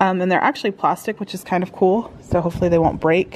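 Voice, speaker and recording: A woman talks at a very fast pace with fairly even intonation over light background noise. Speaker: family vlogger. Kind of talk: casual vlog chat. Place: garden. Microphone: phone near.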